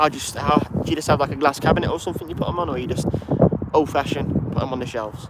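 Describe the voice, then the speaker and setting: Very fast speech from a man, fairly high in pitch with fairly even intonation, amid noticeable background noise. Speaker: plane spotting livestreamer. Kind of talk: live stream commentary and chat. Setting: outdoors at airport. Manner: casual, chatty.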